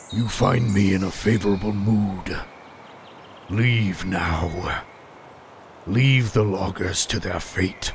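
A man's booming, put-on character voice at a fairly low pitch, very slow with long, frequent pauses, over clear background noise. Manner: cold, menacing, curt.

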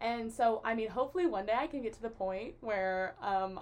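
Talking at a moderate pace with ordinary pitch variation, a woman with an American accent has a plain, everyday voice. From US South, West Tennessee. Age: young. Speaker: college student. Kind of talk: casual chat.

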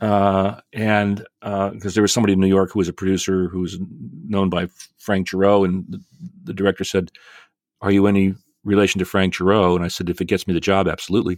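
A man speaks at a very fast pace in a fairly low, monotone voice with flat intonation, on a very clean recording with a silent background and a dry, close sound with no echo. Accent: American. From northern New Jersey. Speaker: stage actor and theater professor. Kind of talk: casual interview.

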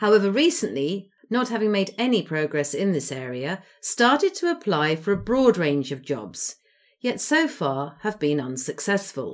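A woman with an English accent speaks at a moderate pace and a medium pitch, her voice swinging very widely up and down. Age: 60s. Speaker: podcast host. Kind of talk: solo monologue.

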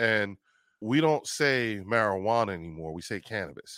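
A man with an American accent and a plain, everyday voice speaks at a medium pitch and fairly slow pace with lively intonation, in a dry, close recording that is very clean, with a silent background and no echo. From New Jersey, Trenton. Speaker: cannabis advocate and army veteran. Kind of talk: interview conversation.

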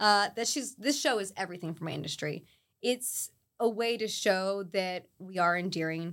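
Speaking at a moderate pace, a woman with a normal speaking voice uses a medium pitch and ordinary pitch variation in a very clean recording with a silent background. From mixed: Saudi Arabia and Texas, Puerto Rican parents. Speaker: chiropractor. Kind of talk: interview.

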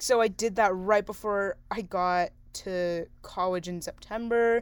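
In an American accent, a woman with a plain, everyday voice speaks at a medium pitch with fairly even intonation. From San Diego, California. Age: young. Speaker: college radio host. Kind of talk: casual chat.

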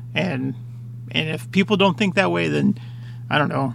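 A man talks with very wide pitch swings. Noticeable background noise runs underneath. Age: 30s. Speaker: podcast host. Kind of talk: solo monologue. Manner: casual, halting with many fillers.

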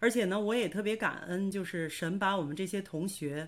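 This woman has an unremarkable speaking voice with a fairly low pitch and ordinary pitch variation, recorded very cleanly against a silent background. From northern China (Hebei, Baoding). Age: 40s. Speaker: nurse and online course student. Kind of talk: interview testimony.

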